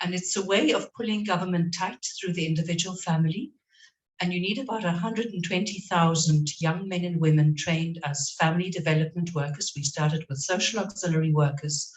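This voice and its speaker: Her pitch fairly low and varying in an ordinary way, a woman speaks at a fairly quick pace in a somewhat breathy voice. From South Africa. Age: 60s. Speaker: NGO worker. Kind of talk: panel discussion. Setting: in-person event room.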